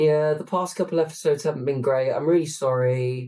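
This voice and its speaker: With a dark, mellow tone and a somewhat breathy quality, a man speaks at a moderate pace. His pitch varies in an ordinary way. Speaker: podcast host. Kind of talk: casual chat. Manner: hesitant, with fillers.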